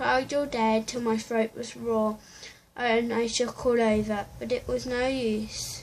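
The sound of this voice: The voice is an unforced reading voice. Its intonation stays fairly even.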